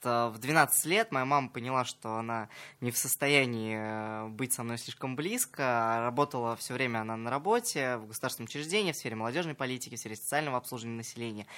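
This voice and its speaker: Very fast speech with a bright, sharp tone and ordinary pitch variation comes through on a very clean recording with a silent background. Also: man, medium pitch for a man. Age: 20s. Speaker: entrepreneur and psychologist. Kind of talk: radio interview. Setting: radio studio.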